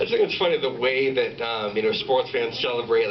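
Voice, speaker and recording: A man speaks at a fairly quick pace in a medium pitch, his intonation monotone and flat, with noticeable background noise and audible room echo. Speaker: stand-up comedian. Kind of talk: stand-up. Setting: stage with audience.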